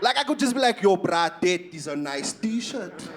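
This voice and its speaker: A man speaks in an animated tone, his pitch swinging very widely. Noticeable background noise sits behind him. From South Africa, Eastern Cape. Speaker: stand-up comedian. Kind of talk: stand-up. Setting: stage with audience.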